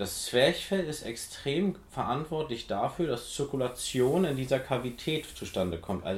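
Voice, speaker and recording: Speaking at a fairly slow pace, a man uses a medium-pitched voice with vocal fry. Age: 40s. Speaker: physiotherapist and osteopath in training, podcast co-host. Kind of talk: casual chat.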